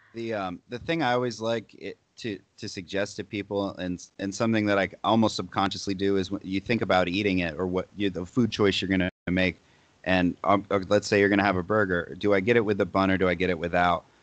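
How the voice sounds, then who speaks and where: A normal speaking voice from a man, fairly low in pitch, at a fairly quick pace with hardly any pauses and fairly even intonation, over a quiet background. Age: 20s. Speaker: fitness influencer. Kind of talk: casual chat.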